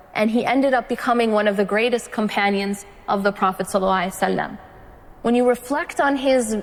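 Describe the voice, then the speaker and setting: Noticeable background noise runs under this clip. A woman speaks with ordinary pitch variation. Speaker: Islamic lecturer. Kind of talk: religious lecture.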